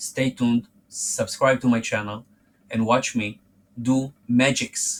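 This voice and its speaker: A man talks at a medium pitch. He speaks with a non-native accent. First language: not English. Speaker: forex trading youtuber. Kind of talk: direct-to-camera monologue. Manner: halting, self-repeating.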